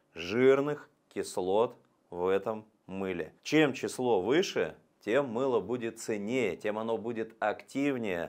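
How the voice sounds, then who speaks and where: At a very slow pace, a man speaks with ordinary pitch variation over a quiet background. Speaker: presenter. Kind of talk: lecture. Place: studio. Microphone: lapel.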